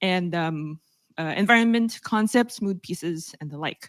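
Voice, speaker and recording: A woman's voice, dry and close with no echo. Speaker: industry report author presenting findings. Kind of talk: presentation to an audience. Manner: fast; hesitant, many fillers.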